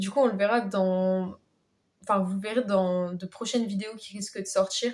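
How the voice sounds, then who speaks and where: A woman talks at a fairly slow pace, her medium pitch carrying fairly even intonation. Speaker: YouTuber. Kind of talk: casual vlog. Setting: sitting in her bed. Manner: hesitant, many fillers.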